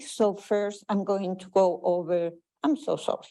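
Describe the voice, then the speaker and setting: With a strong Chilean accent, a woman of medium pitch speaks at a fairly slow pace in a dark, mellow tone on a very clean recording with a silent background. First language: Spanish. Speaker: public health researcher. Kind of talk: conference presentation.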